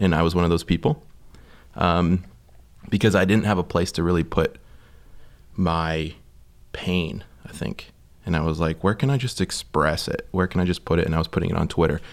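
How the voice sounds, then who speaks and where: With a very deep, low pitch and ordinary pitch variation, a man speaks at a fairly quick pace broken by long, frequent pauses. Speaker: suicide prevention project founder. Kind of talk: casual chat. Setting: studio.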